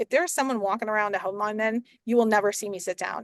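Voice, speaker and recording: A woman's animated tone at a fairly high pitch over a quiet background. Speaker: real estate agent. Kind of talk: interview conversation. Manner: fast.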